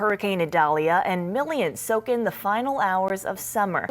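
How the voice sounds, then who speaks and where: With music playing in the background, a woman talks at a moderate pace in a medium pitch, her pitch varying in an ordinary way. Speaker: TV journalist, anchor and weather forecaster. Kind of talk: TV news anchor read. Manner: energetic.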